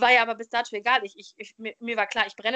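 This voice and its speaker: This voice belongs to a woman. Her pitch sits fairly high. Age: 20s. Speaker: podcast host, trained educator. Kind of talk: interview guest telling life story. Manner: hesitant, many filler sounds.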